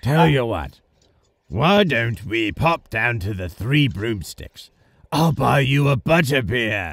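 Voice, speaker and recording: A man puts on a raspy character voice at medium pitch, swinging very widely in pitch at a fairly slow pace. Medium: comedy sketch.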